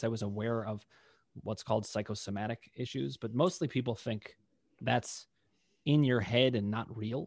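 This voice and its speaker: The voice is an unremarkable speaking voice with ordinary pitch variation. It moves at a fairly quick pace. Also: man. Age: 40s. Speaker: pain psychologist. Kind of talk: interview.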